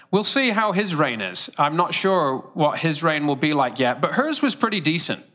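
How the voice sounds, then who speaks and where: This man's voice is fairly high-pitched with a bright, sharp tone. His pitch swings very widely while his loudness stays very even, at a moderate pace. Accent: British. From Great Britain. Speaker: preacher. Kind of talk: sermon. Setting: church.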